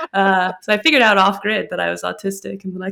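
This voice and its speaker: Here a woman with an ordinary speaking voice talks at a medium pitch in an American accent. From US Midwest. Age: 30s. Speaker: podcast co-host. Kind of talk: casual chat.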